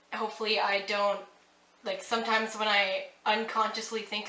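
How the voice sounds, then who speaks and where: A woman with a Western Canadian accent talks fairly quickly at a fairly high pitch. Noticeable background noise and audible room echo fill the recording. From Western Canada, British Columbia. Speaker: vlogger. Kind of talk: accent tag video, casual talk to camera. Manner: hesitant, many fillers.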